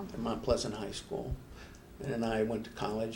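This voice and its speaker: A man speaks with a fairly low pitch. There is audible room echo and noticeable background noise. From upstate New York (Schenectady). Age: 70s. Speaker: retired engineer and Navy veteran. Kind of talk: casual interview. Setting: studio. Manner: halting, many fillers.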